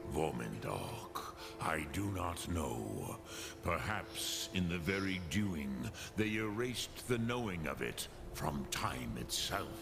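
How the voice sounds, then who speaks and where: Over loud background music, a man uses a put-on character voice with a very deep, low pitch at a fairly slow pace. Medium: machinima. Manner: slow, solemn, measured, with dragon-tongue words.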